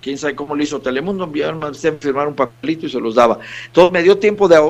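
A fairly high-pitched man with an unremarkable speaking voice and ordinary pitch variation. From Mexico, Monterrey and Veracruz. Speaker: singer-songwriter. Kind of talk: radio interview.

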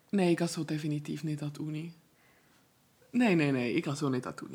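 A woman speaks at a very fast pace in a very deep, low pitch with ordinary pitch variation. Her loudness swings widely, and she takes long, frequent pauses. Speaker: university student, podcast co-host. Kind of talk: casual chat. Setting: home office, morning recording.

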